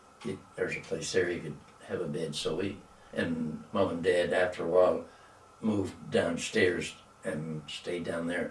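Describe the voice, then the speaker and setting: Over noticeable background noise and audible room echo, a man with a Nova Scotian accent speaks at a fairly slow pace. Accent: rural Nova Scotian. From Nova Scotia, East Hants (Maitland area). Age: 90s. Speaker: elderly local resident interviewed about local history. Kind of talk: oral history interview.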